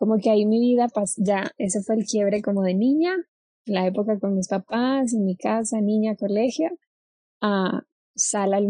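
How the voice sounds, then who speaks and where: A woman talks at a fairly slow pace in a somewhat breathy, medium-pitched voice with ordinary pitch variation and very even loudness. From Colombia (Cali). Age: 20s. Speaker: actress. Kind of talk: casual chat.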